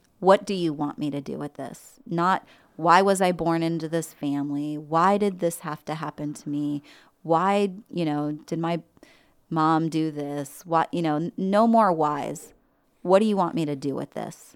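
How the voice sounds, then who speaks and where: A woman's normal speaking voice, fairly low in pitch with ordinary pitch variation, at a fairly slow pace on a very clean recording with a silent background. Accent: American. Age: 50s. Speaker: army veteran. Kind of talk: testimony. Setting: studio.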